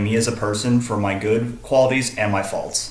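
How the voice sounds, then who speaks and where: A man with an American accent and a medium pitch speaks in a flat monotone, with audible room echo and noticeable background noise. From Texas, Dallas. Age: 20s. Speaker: college student. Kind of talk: self-disclosure presentation. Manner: halting, many fillers.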